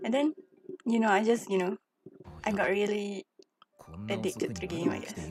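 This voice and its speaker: Over music in the background, a woman talks at medium pitch and a fairly quick pace with ordinary pitch variation and long, frequent pauses, the sound dry and close with no echo. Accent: non-native. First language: not English. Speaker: vtuber streamer. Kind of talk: casual gaming livestream chat. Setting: livestream. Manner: soft-spoken.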